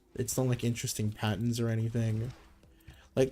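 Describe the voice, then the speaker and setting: Music in the background behind a man at medium pitch. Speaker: gaming streamer. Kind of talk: casual livestream commentary. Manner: casual, filler-heavy.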